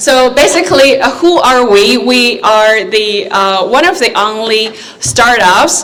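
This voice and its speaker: Amid noticeable background noise and audible room echo, a woman speaks at a fairly slow pace. Her pitch variation is ordinary. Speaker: AI company representative. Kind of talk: conference talk. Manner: hesitant, many fillers.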